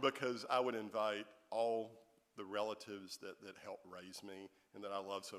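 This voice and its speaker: Here a man talks with a Southern US accent. His intonation is monotone and flat. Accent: Southern US (Georgia). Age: 50s. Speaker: author. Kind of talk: audience Q&A. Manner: halting, many repeated words.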